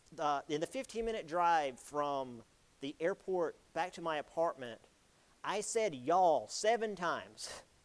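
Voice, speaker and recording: Speaking with an American accent, a man with a high voice talks at a fairly slow pace with lively intonation. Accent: Southern US accent, strong at home. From South Carolina, Florence. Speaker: history lecturer. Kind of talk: lecture. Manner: casual, halting with fillers.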